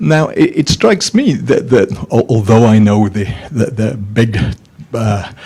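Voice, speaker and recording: This man's dark, mellow voice is somewhat breathy, moving at a moderate pace with ordinary pitch variation. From Scotland. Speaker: academic, audience questioner. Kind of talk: conference Q&A question.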